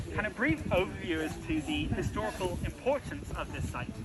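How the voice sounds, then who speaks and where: A man with a high pitch for a man speaks in a slight British accent over noticeable background noise. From UK. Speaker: heritage site tour guide. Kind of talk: guided tour. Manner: frequent filler hesitations.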